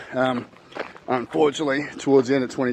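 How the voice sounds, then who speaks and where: Against noticeable background noise, a man with an Australian accent speaks very fast in a flat monotone at a medium pitch. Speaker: financial advisor. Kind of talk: casual talk to camera. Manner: hesitant, many fillers and repeats.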